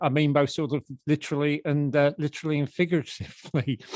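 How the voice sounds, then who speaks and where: A man with a Cockney accent is heard in a dry, close recording with no echo. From South London. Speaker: podcast host, former fanzine editor. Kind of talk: scripted narration; casual chat. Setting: video call.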